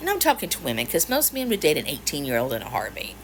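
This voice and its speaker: A woman talks with an American accent in an animated tone. Background noise is noticeable. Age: 50s. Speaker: social media creator. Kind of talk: casual chat to camera.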